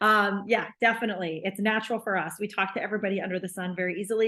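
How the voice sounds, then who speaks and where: The delivery moves at a very fast pace. Pitch variation is ordinary. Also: woman. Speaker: sales team manager. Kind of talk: training webinar. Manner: animated.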